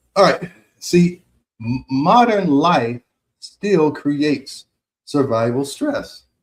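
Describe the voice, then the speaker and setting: With an American accent and a somewhat breathy, fairly high pitch, a man talks at a very slow pace with lively intonation and long, frequent pauses. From United States. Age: 60s. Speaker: physician and health radio host. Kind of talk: radio health talk. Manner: conversational, repetitive fillers.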